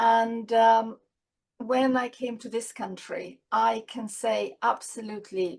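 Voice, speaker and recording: A woman with a non-native accent. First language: not English. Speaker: children's author. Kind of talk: interview.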